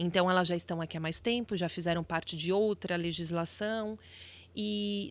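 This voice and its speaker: In a very clean recording with a silent background, a woman speaks at a moderate pace. Her pitch is fairly low and her intonation fairly even. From Brazil, São Paulo. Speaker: lawyer. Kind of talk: podcast interview.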